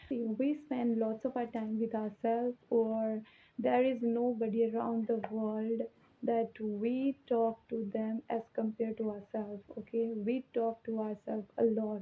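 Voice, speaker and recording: A woman speaks at a fairly slow pace in a fairly high pitch, her intonation monotone and flat. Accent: Indian. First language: Hindi. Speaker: English teacher. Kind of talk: tutorial. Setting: alone in her room.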